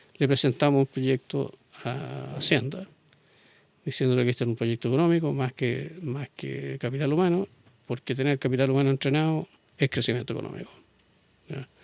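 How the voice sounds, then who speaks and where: In a Chilean accent, a man at medium pitch talks at a fairly quick pace broken by long, frequent pauses, with ordinary pitch variation and a dry, close sound with no echo. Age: 70s. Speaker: business executive. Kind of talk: interview.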